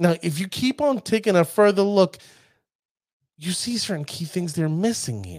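On a very clean recording with a silent background, an animated voice with a New York accent moves at a moderate pace. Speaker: podcast host. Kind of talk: casual podcast chat about card game. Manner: animated, joking.

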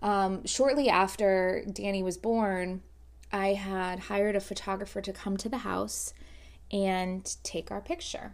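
In a very clean recording with a silent background, a woman with an American accent uses a normal speaking voice at a medium pitch, fairly even intonation, and a fairly slow pace. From South Florida. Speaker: podcast host, photographer. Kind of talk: casual monologue.

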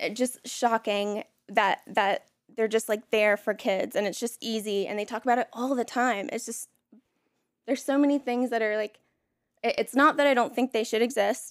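An unremarkable speaking voice with an American accent talks at a moderate pace with fairly even intonation, in a dry, close sound with no echo. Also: woman, fairly high pitch for a woman. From North Carolina (Elon/Burlington). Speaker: artist. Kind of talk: casual chat.

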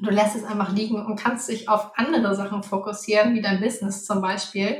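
The woman's medium-pitched voice holds a monotone, flat intonation. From Hamburg, northern Germany. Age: 30s. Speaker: finance coach. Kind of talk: interview.

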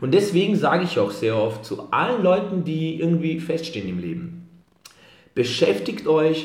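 Fairly high-pitched male speech with vocal fry and very wide pitch swings. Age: 20s. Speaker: fitness entrepreneur. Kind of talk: motivational pep talk; podcast interview.

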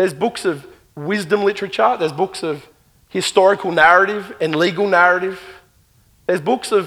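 This man speaks with an Australian accent, his voice high-pitched with ordinary pitch variation. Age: 40s. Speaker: pastor. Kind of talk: sermon. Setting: church.

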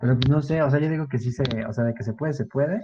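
A man talks very fast in a dark, mellow, somewhat breathy voice, with ordinary pitch variation. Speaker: podcast co-host. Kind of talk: casual chat.

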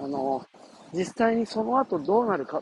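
A man at a moderate pace, his pitch swinging very widely, in a dry, close sound with no echo. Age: 50s. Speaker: forest school teacher. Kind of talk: casual monologue. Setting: outdoors.

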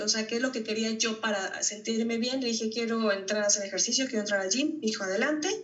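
The voice comes with fairly even intonation, audible room echo and noticeable background noise. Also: woman. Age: 30s. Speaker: dentist and single mother. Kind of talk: interview testimony. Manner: hesitant, many fillers.

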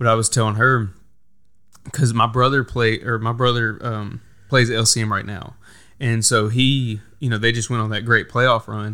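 Here a man with an American accent speaks at a medium pitch and moderate pace, his tone bright and sharp. His intonation is monotone and flat, on a very clean recording with a silent background. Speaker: podcast host. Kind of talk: casual interview chat.

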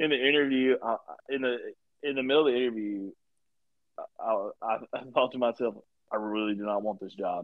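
This man talks at a moderate pace in an animated tone, with long, frequent pauses. His pitch is medium, with ordinary variation. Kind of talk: casual comedy podcast banter. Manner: joking, animated.

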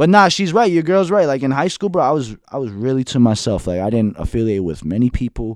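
A man speaks very fast with hardly any pauses at a medium pitch, making very wide pitch swings against a quiet background. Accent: American. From Union City, New Jersey. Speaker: podcast guest. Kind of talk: casual chat. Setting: studio. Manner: animated.

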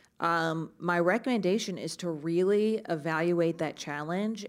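On a very clean recording with a silent background, a woman talks at a fairly slow pace in an ordinary speaking voice, fairly low-pitched, with ordinary pitch variation. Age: 30s. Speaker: media advertising executive. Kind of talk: live panel discussion. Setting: stage with audience.

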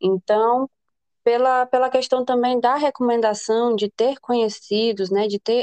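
A woman speaks in an unremarkable speaking voice, fairly high in pitch, at a fairly slow pace, with a dry, close sound and no echo. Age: 20s. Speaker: business administrator and future medical student. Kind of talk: casual interview.

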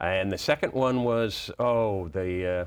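A man with an American accent speaks at a fairly low pitch with ordinary pitch variation. The recording is very clean, with a silent background. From Boston, US. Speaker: children's sports author. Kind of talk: interview. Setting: studio. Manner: halting, many fillers.

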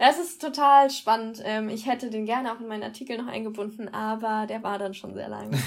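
A woman with a fairly high pitch speaks at a fairly quick pace with ordinary pitch variation. Her loudness swings a lot, and background noise is noticeable. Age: 20s. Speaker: psychology student and blog co-founder. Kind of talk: casual podcast interview.

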